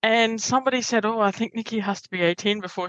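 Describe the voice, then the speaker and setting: In an Australian accent, a woman with a fairly high pitch speaks at a fairly quick pace with ordinary pitch variation, the sound dry and close with no echo. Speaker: Toastmasters member and workshop presenter. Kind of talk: interview conversation. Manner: loud; animated.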